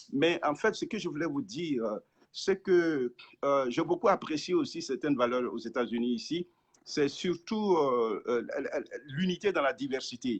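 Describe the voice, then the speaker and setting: With very wide pitch swings, a man speaks at a fairly slow pace in a high pitch. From francophone Africa. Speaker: pastor. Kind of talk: interview. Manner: halting.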